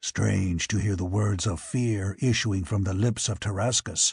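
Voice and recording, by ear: In a put-on character voice, a man rumbles at a fairly low pitch with fairly even intonation and very even loudness, in a dry, close sound with no echo and a quiet background. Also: moderate pace.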